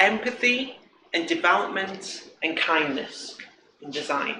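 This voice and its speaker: A high-pitched man with a British accent and ordinary pitch variation, amid noticeable background noise and audible room echo. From Britain. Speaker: front-end developer, conference speaker. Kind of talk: conference talk. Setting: stage with audience. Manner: casual, joking.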